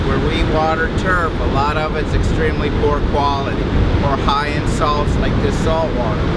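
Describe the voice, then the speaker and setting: Amid loud background noise, a man talks at a moderate pace in a dry sound with no echo. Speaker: course instructor. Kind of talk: lecture. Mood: light, joking. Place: beach. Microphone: camera far.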